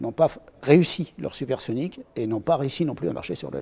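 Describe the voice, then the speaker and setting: Vocal fry runs through this man's voice. His pitch is fairly high, and his tone is dark and mellow. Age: 60s. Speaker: retired pilot and aircraft engineer. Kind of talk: interview answers. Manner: hesitant, many fillers.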